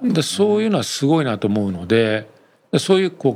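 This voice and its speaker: A man talks at a very fast pace with very wide pitch swings. Noticeable background noise sits behind him. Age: 50s. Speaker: company executive, entrepreneur. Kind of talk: interview.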